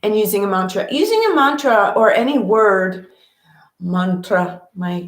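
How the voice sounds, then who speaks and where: At a fairly slow pace, a woman talks in a somewhat breathy voice of medium pitch. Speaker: meditation teacher. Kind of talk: guided meditation talk. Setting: at home with cat on lap. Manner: casual.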